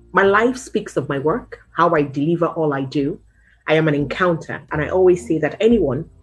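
Music plays in the background as a woman with a fairly low voice speaks with lively intonation. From Nigeria. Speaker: local politician, television presenter. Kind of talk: interview answer. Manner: energetic. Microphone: webcam.

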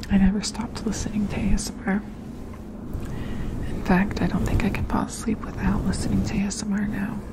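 Whispering at a fairly quick pace, broken by long, frequent pauses. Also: woman. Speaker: ASMR creator. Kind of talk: ASMR whisper ramble. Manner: whispered, soft-spoken. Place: home room. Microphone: studio mic.

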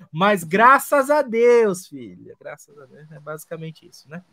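Heard dry and close with no echo, a man with a high pitch and a bright, sharp tone speaks at a moderate pace in an animated tone. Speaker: podcast co-host. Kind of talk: casual chat. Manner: halting.

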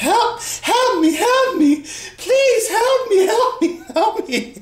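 The put-on character voice is whiny, pitched extremely high and delivered at a very slow pace. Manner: whiny, mocking.

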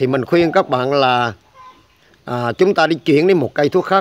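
A man with a normal speaking voice, ordinary pitch variation and a moderate pace. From Vietnam. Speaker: herbal medicine channel host. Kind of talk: tutorial. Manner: filler-heavy casual delivery. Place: garden. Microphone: phone near.

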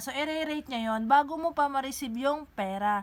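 The woman's pitch is high. She talks at a moderate pace. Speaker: online seller tutorial maker. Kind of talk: tutorial. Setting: screen recording tutorial; living in Japan. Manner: instructional, casual.

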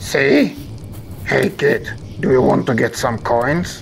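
A cartoonish character voice at a low-to-middle pitch and a fairly slow pace, with clear background noise. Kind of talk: absurd comedy cartoon. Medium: comedy sketch. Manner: smug, bossy.

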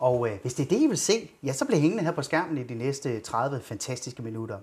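A man's fairly high, somewhat breathy voice with lively intonation. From Denmark. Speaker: talk show host. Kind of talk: interview in a studio talk show. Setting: studio. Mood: upbeat, jovial. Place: studio.

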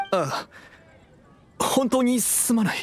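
Lively intonation marks this cartoonish character voice. It proceeds at a slow pace. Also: man, extremely high pitch for a man.

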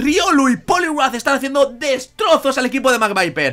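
A man's raised, projected voice at an extremely high pitch, lively intonation and a moderate pace, over noticeable background noise. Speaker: gaming YouTuber. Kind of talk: live commentary of a Pokémon battle, play-by-play like a sports announcer. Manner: enthusiastic, friendly.

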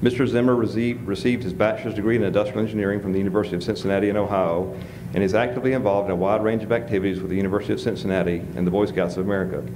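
Over noticeable background noise, a man talks at a very fast pace with a fairly low pitch and ordinary pitch variation. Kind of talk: speaker introduction. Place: hall. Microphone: podium.

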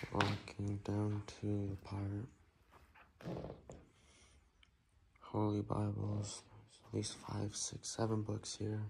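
A man talks very slowly at a fairly low pitch, somewhat breathy and monotone, with flat intonation. Long pauses come often, over light background noise. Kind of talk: casual vlog narration. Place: church. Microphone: phone near.

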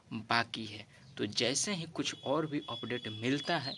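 The intonation is lively. Background noise is noticeable. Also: man. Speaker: entertainment news vlogger. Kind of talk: casual vlog chat. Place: garden. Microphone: phone near.

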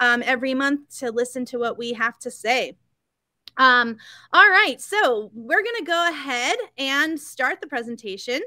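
Over a quiet background, a woman speaks in a raised, projected voice with a bright, sharp tone and dry sound with no echo. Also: fairly slow pace. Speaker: store event host. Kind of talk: live stream presentation intro. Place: home room. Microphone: webcam.

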